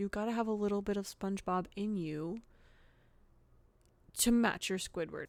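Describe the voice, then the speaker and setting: A woman speaks at a moderate pace with a slight Southern US accent. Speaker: podcast host. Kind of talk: casual monologue. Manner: casual, filler-heavy.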